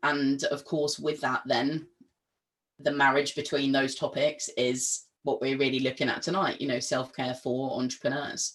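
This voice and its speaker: A woman speaks at a very deep, low pitch, monotone and flat, with very even loudness. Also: moderate pace. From England. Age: 20s. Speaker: mental health and wellbeing trainer. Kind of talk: webinar talk. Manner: many filler ums.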